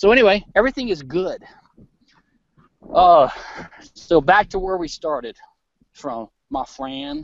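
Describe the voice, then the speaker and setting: A man with an American accent speaks fairly slowly in a high voice, leaving long, frequent pauses. His pitch swings very widely and his loudness rises and falls sharply. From Louisiana, US South. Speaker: libertarian commentator. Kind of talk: casual chat. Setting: outdoors, walking a forest trail; video call on iPad. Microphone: very quiet.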